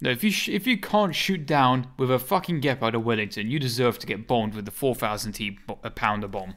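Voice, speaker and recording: A man at a medium pitch with a British accent, very fast pace, hardly any pauses and very wide pitch swings, on a very clean recording with a silent background. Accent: British accent, viewers like it. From Britain. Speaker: gaming streamer. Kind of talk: gameplay live stream commentary. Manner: casual, animated.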